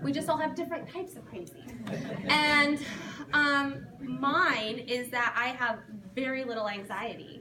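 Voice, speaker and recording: In a room with audible echo and noticeable background noise, a woman projects a raised, high-pitched voice. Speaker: counseling student doing stand-up. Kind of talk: stand-up. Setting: stage with audience at a seminary talent night. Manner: loud.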